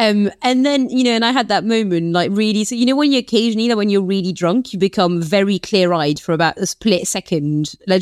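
A woman talks with a French accent. The recording is very clean and dry, close, with no echo and a silent background. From western France (Nantes). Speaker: political journalist and author. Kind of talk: casual interview chat.

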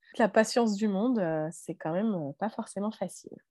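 With fairly even intonation, a woman talks at a moderate speed. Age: 30s. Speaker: mother and health professional. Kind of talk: testimony. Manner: halting.

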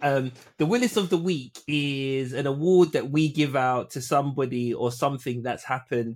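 A man in a London accent speaks with ordinary pitch variation on a very clean recording with a silent background. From Caribbean heritage, UK. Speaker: sports podcast co-host. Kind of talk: casual chat.

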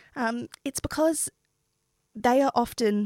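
A woman with an Australian accent, recorded very cleanly against a silent background, the sound dry and close with no echo. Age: 20s. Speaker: PhD candidate, environmental researcher. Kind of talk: panel discussion.

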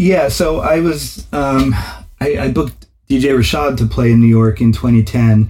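Speaking at a fairly slow pace, a man with an unremarkable speaking voice holds a very even loudness, his medium pitch showing ordinary variation. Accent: American. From US Northeast, New Haven, Connecticut. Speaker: music promoter and DJ. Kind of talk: interview.

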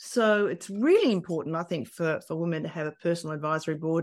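Woman's fairly low voice with ordinary pitch variation, in a quiet background. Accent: Australian. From Australia. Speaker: business leader. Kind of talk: interview.

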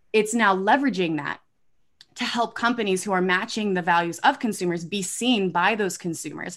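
In an ordinary speaking voice, a woman speaks at medium pitch and a moderate pace with ordinary pitch variation, on a very clean recording with a silent background. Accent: American. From Indiana, US Midwest. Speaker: startup founder and CEO. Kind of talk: interview on a live stream. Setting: live video stream.

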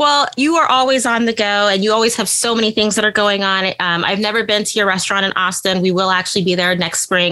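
At a very fast pace with hardly any pauses, a woman speaks at medium pitch with ordinary pitch variation. Her loudness is very even, and there is noticeable background noise. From US Midwest, Indiana. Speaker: podcast host. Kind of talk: casual interview.

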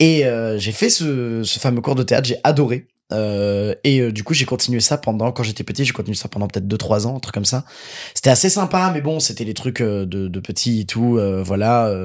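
A man with a plain, everyday voice speaks at a medium pitch and moderate pace, with ordinary pitch variation. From Paris suburbs, Seine-Saint-Denis (Pantin/Aubervilliers). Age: 20s. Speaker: actor and voice dubber. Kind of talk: casual chat.

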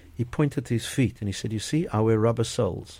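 Somewhat breathy, a man speaks at a fairly quick pace. His pitch is medium, with ordinary variation. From South Africa, Port Elizabeth. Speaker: company chairman and CEO. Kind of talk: radio interview. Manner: halting.

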